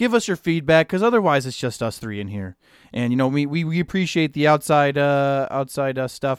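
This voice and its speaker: Heard on a very clean recording with a silent background, a man with an American accent and a plain, everyday voice speaks in a fairly high pitch with lively intonation. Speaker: podcast co-host. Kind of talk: heated debate in a casual podcast chat. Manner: loud, overlapping, talking over others, heated.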